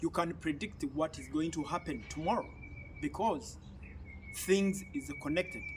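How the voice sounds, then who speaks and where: A moderate pace from a male speaker. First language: an African language (not English). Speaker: YouTube commentator. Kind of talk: political commentary monologue. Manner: halting.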